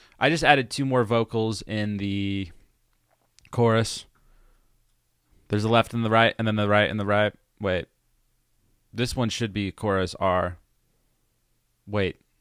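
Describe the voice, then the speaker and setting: A man's plain, everyday voice, fairly low in pitch and fairly slow in pace, on a very clean recording with a silent background. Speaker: musician and producer explaining own song. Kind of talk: tutorial. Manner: casual.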